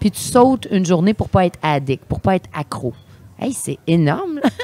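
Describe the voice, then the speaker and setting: Very wide pitch swings mark a woman's medium-pitched voice at a moderate pace. The sound is dry and close with no echo. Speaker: sommelier. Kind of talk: casual chat. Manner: animated.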